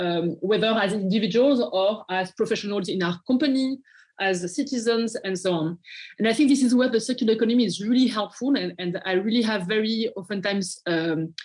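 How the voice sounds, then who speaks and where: A somewhat breathy woman talks fairly quickly at a fairly high pitch with ordinary pitch variation over a quiet background. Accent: French. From France. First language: French. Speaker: nonprofit partnerships manager. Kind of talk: interview. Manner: halting, many fillers and repeats.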